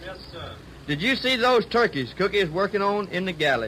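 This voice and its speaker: Over noticeable background noise, a man with a high pitch uses a raised, projected voice and lively intonation at a moderate pace. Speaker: sailor, dramatized crew member. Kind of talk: dramatized radio skit.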